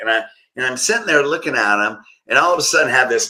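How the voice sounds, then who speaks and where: A man talks at a medium pitch. He has a plain, everyday voice. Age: 60s. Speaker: chiropractor. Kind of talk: interview conversation.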